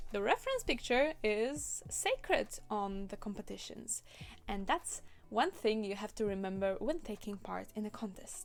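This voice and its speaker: Music plays in the background as a woman with a fairly high pitch speaks at a moderate pace with lively intonation. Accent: Polish. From Poland. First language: Polish. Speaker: cosplayer and video creator. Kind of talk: tutorial. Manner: casual, conversational.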